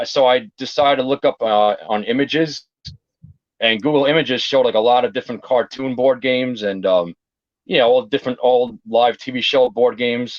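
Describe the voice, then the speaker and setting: The speaker has a New York accent and a moderate pace. Pitch variation is ordinary. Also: man. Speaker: board game collector and YouTuber. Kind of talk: interview. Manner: casual, lots of fillers.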